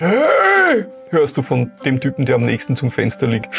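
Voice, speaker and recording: Over faint music in the background, a man does a put-on character voice with a fairly high pitch at a moderate pace. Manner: annoyed, irritable.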